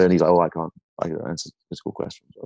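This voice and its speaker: A man's very deep, low voice with a northern English accent over a quiet background. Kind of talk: casual interview chat. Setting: remote call.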